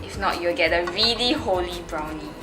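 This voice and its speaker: A woman's voice with audible room echo and music in the background. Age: young. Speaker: home cook. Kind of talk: tutorial.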